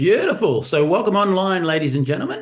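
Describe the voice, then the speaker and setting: With an Australian accent, a man talks at a very fast pace using ordinary pitch variation. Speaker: event host for a wellness company. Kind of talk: live webinar hosting. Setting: video call live stream.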